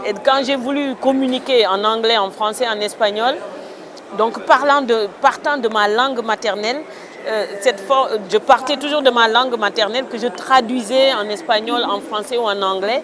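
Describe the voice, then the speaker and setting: Over noticeable background noise, a woman with a fairly high pitch speaks at a fairly slow pace with ordinary pitch variation. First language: a Senegalese mother tongue (speaking French). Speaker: writer. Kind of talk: interview. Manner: hesitant.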